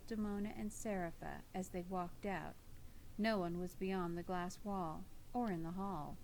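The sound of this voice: An unforced reading voice delivers the text.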